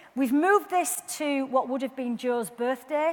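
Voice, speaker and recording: A woman with a Yorkshire accent and lively intonation. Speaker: community campaigner. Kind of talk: public talk. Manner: fast; repetitive false starts.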